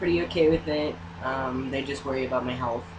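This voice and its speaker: His pitch swings very widely as a man speaks amid audible room echo and noticeable background noise. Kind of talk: casual chat.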